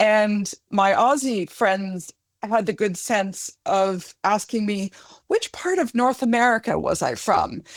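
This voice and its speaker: Speaking at a very slow pace with very even loudness and lively intonation, a woman with a fairly high pitch and a Canadian accent is heard on a very clean recording with a silent background. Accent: Canadian, often mistaken for British. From Canada. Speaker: academic and podcast co-host. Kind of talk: casual interview chat.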